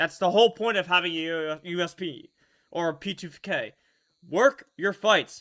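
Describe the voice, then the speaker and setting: A bright, sharp tone with lively intonation on a very clean recording with a silent background. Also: man. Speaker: esports coach reviewing match demo. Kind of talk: demo review commentary. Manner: stuttering, halting; animated, emphatic.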